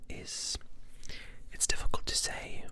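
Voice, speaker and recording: A man speaks in a whisper. There is noticeable noise in the background. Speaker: ASMR artist. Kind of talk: ASMR whispered talk. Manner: whispered, soft-spoken.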